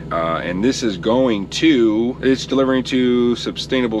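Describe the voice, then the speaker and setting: A man speaks at a moderate pace with ordinary pitch variation, the sound dry with no echo and some noticeable background noise. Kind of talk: casual vlog chat. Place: car. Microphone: phone near.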